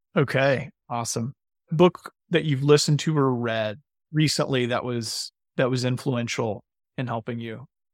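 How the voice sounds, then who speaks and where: A man with an ordinary speaking voice, medium pitch and a moderate pace, dry and close with no echo on a very clean recording with a silent background. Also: ordinary pitch variation. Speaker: podcast host. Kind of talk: interview conversation.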